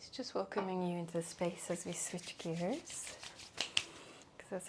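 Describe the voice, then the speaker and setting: Soft-spoken and calm, a woman talks at a medium pitch over noticeable background noise. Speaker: reiki practitioner and wellness clinician. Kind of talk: soft-spoken ASMR energy healing session with client. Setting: clinic treatment room. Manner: soft-spoken, calm.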